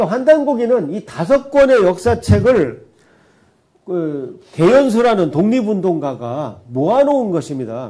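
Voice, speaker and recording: Pitched high for a man, his voice has a dark, mellow tone and very wide pitch swings, moving at a fairly slow pace with audible room echo. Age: 60s. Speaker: astronomer giving history lecture. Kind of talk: lecture.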